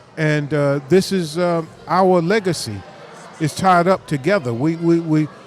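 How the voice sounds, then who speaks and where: Against noticeable background noise, a man with an American accent speaks at a fairly high pitch with ordinary pitch variation. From New York and New Jersey. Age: 60s. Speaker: minister and community activist. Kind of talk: casual interview at live event. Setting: live community event.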